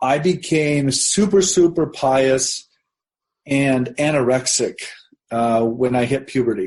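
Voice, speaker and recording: Speaking very slowly with a Midwestern American accent, a man with a fairly high pitch keeps very even loudness and ordinary pitch variation. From US Midwest, southeastern Nebraska. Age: 50s. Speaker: religion professor, author. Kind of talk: interview conversation, personal story.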